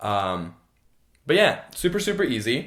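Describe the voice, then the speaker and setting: The voice shows vocal fry and very wide pitch swings. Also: man. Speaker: video blogger. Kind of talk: product review tutorial. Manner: casual, filler-heavy.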